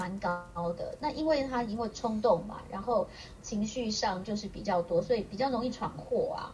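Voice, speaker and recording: A woman talks at a moderate pace with a fairly high pitch and ordinary pitch variation. There is noticeable background noise. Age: 50s. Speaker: aromatherapist. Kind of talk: casual interview chat.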